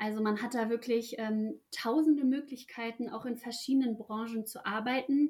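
A woman with a normal speaking voice talks at a moderate pace in a fairly high pitch, her intonation fairly even and hardly any pauses between words. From Ruhr area, Germany. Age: 20s. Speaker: apprentice. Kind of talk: interview.

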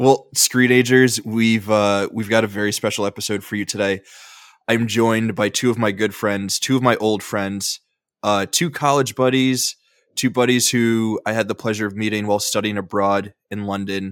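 In a normal speaking voice, a man talks at a moderate pace and fairly low pitch with fairly even intonation, the sound dry and close with no echo in a very clean recording with a silent background. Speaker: podcast host. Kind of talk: casual chat.

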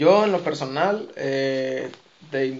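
Noticeable background noise surrounds a man's voice. He speaks at a fairly high pitch with ordinary pitch variation. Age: 20s. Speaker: street dance teacher. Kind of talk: casual chat.

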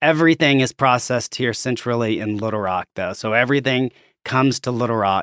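Speaking with an American accent at a fairly quick pace, a man uses a medium pitch and ordinary pitch variation, in a very clean recording with a silent background and a dry, close sound with no echo. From Arkansas, US South. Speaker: laboratory chief executive and pathologist. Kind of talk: casual interview.

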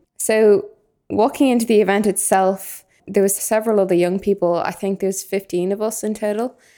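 The speech comes at a fairly quick pace in a dark, mellow tone with a Dublin accent, on a very clean recording with a silent background. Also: woman. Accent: Dublin Irish. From Ireland, Dublin. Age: young (19). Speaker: youth volunteer podcaster. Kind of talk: casual discussion.

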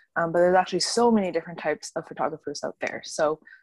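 The sound is dry and close, with no echo. A woman speaks with lively intonation. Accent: western Canadian. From Canada, Vancouver suburbs. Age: 20s. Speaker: brand photographer. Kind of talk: casual interview chat.

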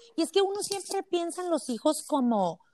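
The very clean recording has a silent background and a dry, close sound with no echo, and the voice moves in very wide pitch swings. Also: woman. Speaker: podcast host, mother. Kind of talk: casual interview chat.

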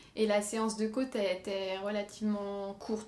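Taking a fairly slow pace, a woman speaks with a fairly high pitch. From France, Marne (Champagne). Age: 20s. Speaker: nurse and amateur runner. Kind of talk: interview. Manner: hesitant, many fillers.

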